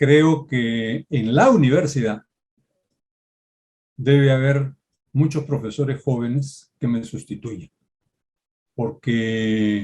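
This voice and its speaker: The speaker talks very slowly with normal pitch movement. The tone sounds dark and mellow. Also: man. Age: 70s. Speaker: law professor. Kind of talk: Q&A at academic event. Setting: academic event.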